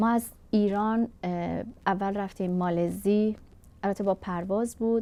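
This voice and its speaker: Monotone and flat in intonation, a woman with a medium pitch and a dark, mellow tone talks at a moderate pace. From Iran, Kurdish family. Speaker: refugee craftswoman. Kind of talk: interview testimony.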